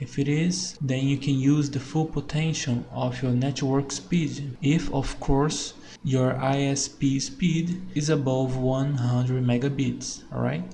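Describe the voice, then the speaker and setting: Speaking very slowly in a non-native accent, a man with a fairly high pitch keeps his intonation fairly even and his loudness very even, with hardly any pauses. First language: not English. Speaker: tech tutorial creator. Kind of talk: tutorial.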